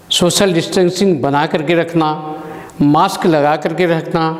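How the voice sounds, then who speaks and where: A man with a high voice is heard with audible room echo and noticeable background noise. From Chhattisgarh, India. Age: 60s. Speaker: social activist. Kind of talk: personal testimony address. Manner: formal.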